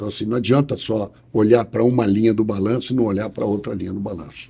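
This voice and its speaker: Spoken at a very fast pace, this voice has a dark, mellow tone, a somewhat breathy quality and fairly even intonation. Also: man, fairly low pitch for a man. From Brazil, Rio de Janeiro. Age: 60s. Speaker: lawyer. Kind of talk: interview. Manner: hesitant with repetitions.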